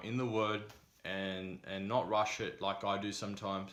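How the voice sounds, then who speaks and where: A man is speaking. Room echo can be heard. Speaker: vlogger. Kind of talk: casual advice vlog. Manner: monotone; hesitant with many fillers.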